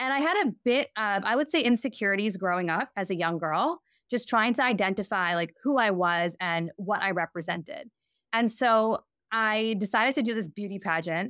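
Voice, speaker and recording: With an American accent, a woman speaks in an unremarkable speaking voice at medium pitch, with lively intonation at a moderate pace, in a dry, close sound with no echo. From New York. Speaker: fashion brand founder. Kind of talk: interview conversation.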